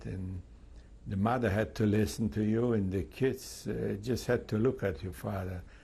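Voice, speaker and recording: A man speaks with a dark, mellow tone and a fairly low pitch. His voice is somewhat breathy, with ordinary pitch variation. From Poland, Lviv. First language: Polish or Yiddish. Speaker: Holocaust survivor. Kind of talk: testimony interview. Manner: halting, many fillers.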